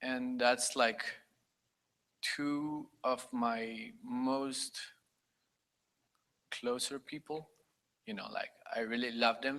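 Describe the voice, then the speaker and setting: A man with a Spanish accent speaks at a very slow pace, leaving long, frequent pauses. His tone is bright and sharp, his pitch medium and his intonation fairly even. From Costa Rica. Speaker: conference attendee. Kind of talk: personal testimony. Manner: halting.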